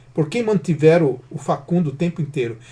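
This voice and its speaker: This man speaks fairly quickly, his fairly high pitch showing ordinary variation. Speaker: football channel host. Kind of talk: post-match player ratings commentary. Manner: halting, casual with self-corrections.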